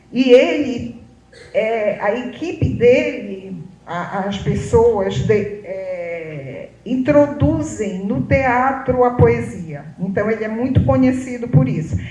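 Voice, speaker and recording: A woman speaks very slowly at a medium pitch, her voice swinging very widely up and down. Room echo is audible, and background noise is noticeable. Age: 70s. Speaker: photographer. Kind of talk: public talk.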